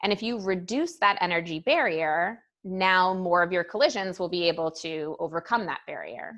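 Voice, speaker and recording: Over a quiet background, a woman speaks at a moderate pace with hardly any pauses. She has a plain, everyday voice, medium in pitch with ordinary pitch variation. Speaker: high school chemistry teacher. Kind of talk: lecture. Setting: recorded class session. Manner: casual.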